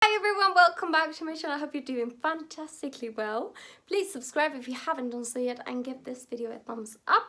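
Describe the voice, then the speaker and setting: The voice is raised and projected, bright and sharp in tone, at a fairly quick pace. Its intonation is lively, with big swings in loudness. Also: woman, high pitch for a woman. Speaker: fragrance reviewer. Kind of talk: product review vlog. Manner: animated.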